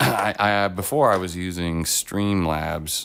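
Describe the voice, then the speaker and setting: The intonation stays fairly even as the man speaks. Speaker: live streamer painting miniatures. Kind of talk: casual chat. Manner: casual, many fillers.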